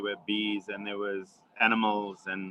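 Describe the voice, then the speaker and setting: There is noticeable background noise. The speech moves at a fairly slow pace. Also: man. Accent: South African. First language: Xhosa. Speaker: wildlife conservationist. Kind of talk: webinar Q&A answer. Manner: halting, many fillers and repetitions.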